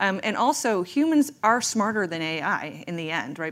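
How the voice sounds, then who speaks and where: Her medium-pitched voice swings very widely in pitch as the woman talks at a moderate pace. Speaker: tech founder. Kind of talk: casual panel chat. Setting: stage with audience.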